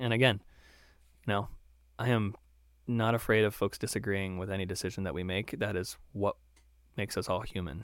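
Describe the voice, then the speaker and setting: Long, frequent pauses break up a man's speech in an American accent, with a fairly low pitch, fairly even intonation, and a fairly quick pace on a very clean recording with a silent background. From Maryland, US. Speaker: state cannabis regulator. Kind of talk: interview.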